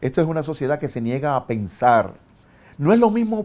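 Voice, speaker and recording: A man with a Dominican accent talks at a moderate pace and a fairly high pitch, swinging very widely in pitch, in a very clean recording with a silent background. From Dominican Republic. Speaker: philosopher and university professor. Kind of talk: interview answer.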